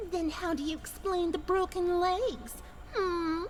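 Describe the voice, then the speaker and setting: A put-on character voice at an extremely high pitch, fairly slow in pace, over clear background noise. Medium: read story. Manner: sneering, condescending.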